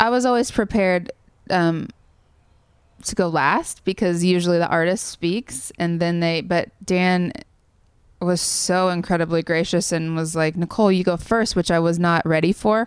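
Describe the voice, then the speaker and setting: In an American accent, a woman with an ordinary speaking voice talks at a moderate pace and medium pitch. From Kansas, US Midwest. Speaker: songwriter. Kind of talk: interview.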